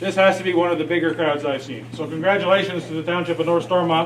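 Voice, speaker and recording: A man speaks loudly at a very fast pace in a high voice, with noticeable background noise and audible room echo. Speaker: moderator, past farm federation president. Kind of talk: public meeting moderation. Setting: community hall with audience, no mic.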